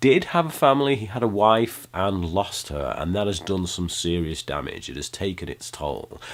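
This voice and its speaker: Lively intonation marks this man's speech, delivered in a British accent. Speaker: film reviewer. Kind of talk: movie review monologue. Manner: hesitant, many fillers.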